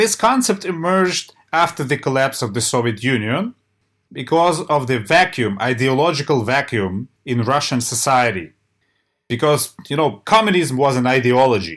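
A man speaks at medium pitch and a moderate pace, with a Ukrainian accent. His pitch swings very widely, and the recording is very clean with a silent background. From Ukraine. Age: 40s. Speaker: church historian. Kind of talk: interview. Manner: halting.

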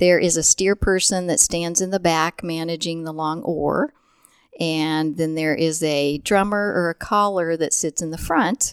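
A woman with a Midwestern American accent speaks at a fairly low pitch and fairly slow pace, her intonation fairly even. The sound is dry and close with no echo, on a very clean recording with a silent background. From central Illinois. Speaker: physical therapist and dragon boat paddler. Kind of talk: casual interview.

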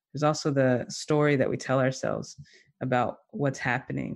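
The speaker has an American accent and a monotone, flat intonation. The background is quiet. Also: man. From US South. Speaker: somatics teacher and movement facilitator. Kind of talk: interview conversation.

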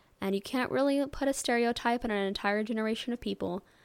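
On a very clean recording with a silent background, a woman with a Midwestern American accent speaks at a fairly quick pace with ordinary pitch variation. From US Midwest, St. Louis, Missouri. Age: 20s. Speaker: podcaster and YouTuber. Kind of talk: casual solo monologue. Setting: home bedroom.

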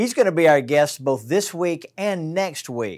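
A man with a Southern US accent and lively intonation, on a very clean recording with a silent background. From Alabama. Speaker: pastor. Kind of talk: casual chat. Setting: studio.

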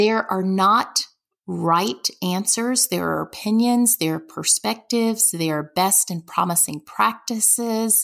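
Speaking very slowly, a woman at a medium pitch talks in a Southern US accent. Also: ordinary pitch variation, very clean recording, silent background. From US South, Birmingham, Alabama. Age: 40s. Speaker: nonprofit development executive. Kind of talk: interview.

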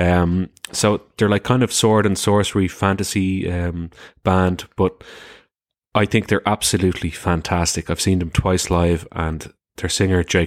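A man with an Irish accent, very deep and low in pitch, at a moderate pace in a monotone, flat intonation, with a dry, close sound, no echo and a very clean recording over a silent background. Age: 30s. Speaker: podcaster. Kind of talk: casual chat.

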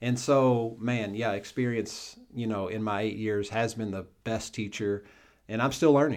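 A man's unremarkable speaking voice at medium pitch, fairly slow and fairly even in intonation, on a very clean recording with a silent background. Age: 40s. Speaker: lead pastor. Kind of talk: casual chat.

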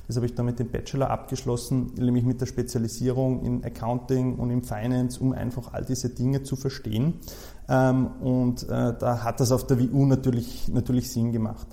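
A man's voice sits at a medium pitch with a dark, mellow tone. He speaks at a moderate pace in a flat monotone. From Austria, Salzburg region (Saalbach-Hinterglemm). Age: 30s. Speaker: insolvency lawyer. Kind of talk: interview.

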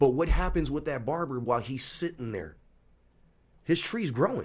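With vocal fry, a man talks at a moderate pace. The pitch of his voice swings very widely. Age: 40s. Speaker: barbershop owner. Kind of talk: casual chat.

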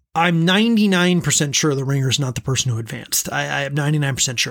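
In a very clean recording with a silent background, a man has an ordinary speaking voice with a fairly high pitch and ordinary pitch variation. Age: 30s. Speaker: podcast host. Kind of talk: solo podcast recap.

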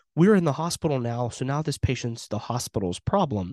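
Over a quiet background, a man with an American accent talks at a fairly quick pace with very wide pitch swings, in a dry, close sound with no echo. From Western Pennsylvania. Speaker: paramedic educator and podcast host. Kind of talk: informal solo talk.

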